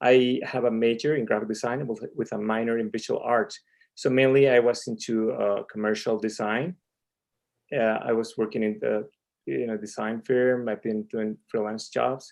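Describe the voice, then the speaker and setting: A man with a medium-pitched voice talks at a moderate pace with fairly even intonation. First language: Spanish. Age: 40s. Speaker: ministry president, comic artist. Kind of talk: interview. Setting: live stream.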